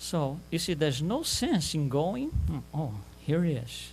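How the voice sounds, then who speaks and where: With music in the background, a man speaks at a fairly slow pace in a fairly high pitch with lively intonation. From Brazil, Rio de Janeiro. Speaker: lecturer. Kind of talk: lecture. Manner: animated.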